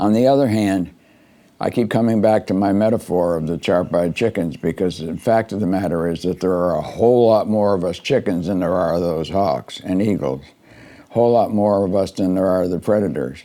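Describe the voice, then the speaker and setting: A man's very deep, low pitch and dark, mellow tone, at a fairly quick pace with ordinary pitch variation. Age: 80s+. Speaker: political commentary podcaster. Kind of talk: monologue commentary. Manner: halting, frequent repetitions and fillers; rambling stream of consciousness.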